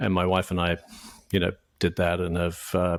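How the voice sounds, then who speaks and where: A man with a British accent speaks in a very deep, low pitch at a fairly quick pace. His intonation is monotone and flat, and the recording is very clean with a silent background. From UK. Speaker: franchise consultant. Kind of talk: podcast interview. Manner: halting, many fillers and repeats.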